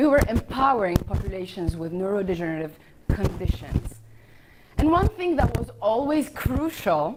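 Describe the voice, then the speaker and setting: A woman's medium-pitched voice with very wide pitch swings, at a moderate pace over noticeable background noise. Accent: non-native. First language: not English (English is her third of five). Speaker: startup founder. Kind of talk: pitch presentation.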